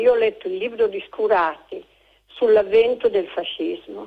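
With lively intonation, a woman speaks at a fairly slow pace in an unremarkable speaking voice. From Udine, Friuli. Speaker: caller. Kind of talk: phone-in call. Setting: phone call.

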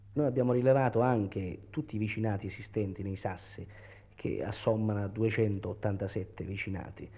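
A man speaks at a moderate pace in a fairly low voice. His intonation stays fairly even. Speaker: researcher of the Matera study commission. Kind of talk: explanatory interview statement. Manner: halting, explanatory, with hesitations.

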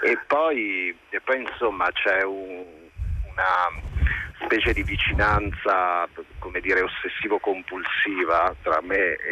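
A man at a very slow pace with long, frequent pauses, against noticeable background noise. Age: 40s. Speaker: film director. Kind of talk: casual chat.

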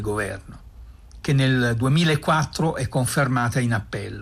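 Somewhat breathy speech proceeds at a fairly slow pace, its pitch varying in an ordinary way. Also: man. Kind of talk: documentary radio narration. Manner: grave, measured, formal; steady, even, unhurried verdict-reading cadence.

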